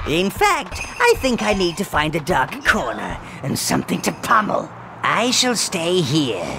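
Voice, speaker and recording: A put-on character voice at a middle pitch moves at a moderate pace over loud background noise. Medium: video game. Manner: servile, fussy, scheming.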